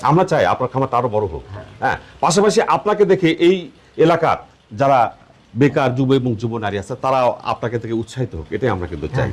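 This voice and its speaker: Vocal fry runs through a man's medium-pitched voice. His pitch swings very widely. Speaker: youth development show host. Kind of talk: interview on a dairy farm; scripted presenter intro. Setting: on location in a village farm.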